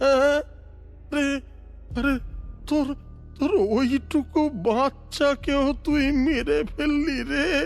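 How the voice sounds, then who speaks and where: Clear music sits in the background. Over it, a put-on character voice goes at a fairly slow pace. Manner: weeping, stammering.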